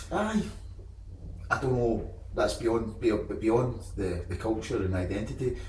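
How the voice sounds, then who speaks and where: Amid noticeable background noise and audible room echo, a man with a Scottish accent talks at a fairly slow pace with long, frequent pauses. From Scotland. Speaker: podcast host. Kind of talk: podcast interview.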